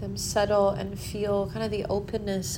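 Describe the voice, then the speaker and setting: Noticeable background noise sits behind a woman speaking at a fairly slow pace. Her tone is soothing. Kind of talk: guided meditation. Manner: slow, soft and soothing, with long pauses; gentle, calm, unhurried.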